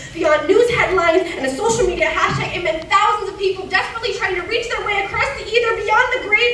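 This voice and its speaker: Over noticeable background noise, a woman with an extremely high pitch speaks in a raised, projected voice at a fairly quick pace with ordinary pitch variation. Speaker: slam poet. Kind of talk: slam poetry performance. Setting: live stage in a cinema.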